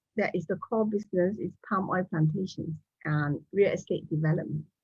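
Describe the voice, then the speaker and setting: A woman's somewhat breathy voice. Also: dry, close sound with no echo. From Malaysia. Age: 70s. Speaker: business owner and doctor. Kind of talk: interview.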